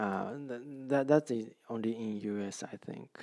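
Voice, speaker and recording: This man speaks in a Japanese accent at a very slow pace. His pitch is medium, with ordinary variation. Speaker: real estate agent. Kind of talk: tutorial. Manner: halting, many fillers and repeats.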